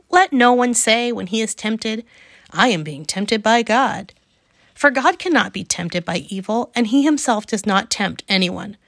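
A woman's normal speaking voice, fairly high-pitched with lively intonation, on a very clean recording with a silent background. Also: dry, close sound with no echo. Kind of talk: literary audiobook reading of scripture, measured and even, steady devotional cadence. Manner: calm, unhurried, warm and reverent, clear pacing.

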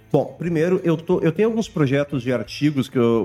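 A man races through his words at a very fast pace, his pitch moving in an ordinary way while music plays in the background. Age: 40s. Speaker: international relations professor. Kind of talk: casual chat.

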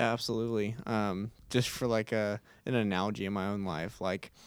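A man with a Texan accent speaks in a fairly low, flat monotone on a very clean recording with a silent background. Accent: Texan American. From Texas, Houston. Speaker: college student leader. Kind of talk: casual faith discussion. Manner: hesitant, many fillers.

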